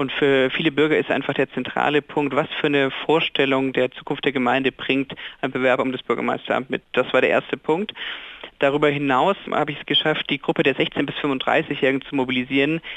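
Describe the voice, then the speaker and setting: Over noticeable background noise, a man talks fairly quickly in a fairly high pitch with a monotone, flat intonation. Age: 20s. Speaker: mayor. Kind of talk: radio interview.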